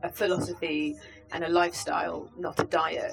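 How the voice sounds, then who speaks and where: Over music in the background, a woman speaks with a British accent. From UK. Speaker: vegan organisation campaigns head. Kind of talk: interview. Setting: festival.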